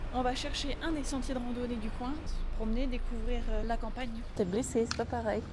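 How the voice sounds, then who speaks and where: A woman with a high voice speaks at a fairly quick pace with fairly even intonation and very even loudness, amid noticeable background noise and audible room echo. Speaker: travel vlogger. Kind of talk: travel vlog narration. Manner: whispering.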